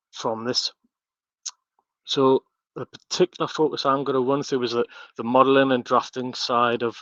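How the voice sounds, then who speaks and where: With a strong northeast English accent, a man speaks at medium pitch and a moderate pace, his intonation monotone and flat, broken by long, frequent pauses, in a dry, close sound with no echo over a quiet background. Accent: heavy northeast English. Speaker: architectural technologist and BIM content director. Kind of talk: webinar presentation. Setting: online webinar. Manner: halting, many fillers and repetitions.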